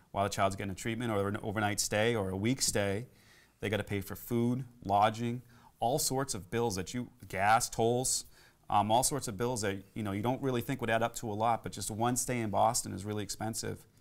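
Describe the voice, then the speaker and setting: An ordinary speaking voice, a man with a fairly low pitch moves at a fairly quick pace with fairly even intonation. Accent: American. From Massachusetts. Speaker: school committee candidate; candidate. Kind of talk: interview. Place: studio.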